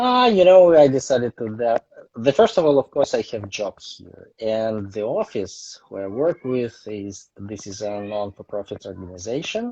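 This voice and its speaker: A man's medium-pitched voice at a moderate pace, with lively intonation, big swings in loudness and hardly any pauses. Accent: strong Russian. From Russia, Saint Petersburg. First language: Russian. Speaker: photographer. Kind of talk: interview. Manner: halting.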